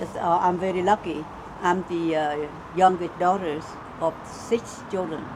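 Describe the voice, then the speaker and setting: A woman with a fairly low voice speaks fairly slowly with fairly even intonation. Noticeable background noise is present. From central Vietnam, near Da Nang. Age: 70s. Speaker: author and interviewee. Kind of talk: life story interview.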